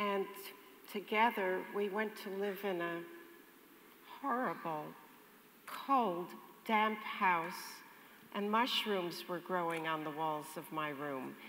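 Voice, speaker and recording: A woman at a medium pitch with a bright, sharp tone, ordinary pitch variation, a very slow pace and long, frequent pauses, in audible room echo. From Netherlands. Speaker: Holocaust survivor. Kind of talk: testimony in audience Q&A.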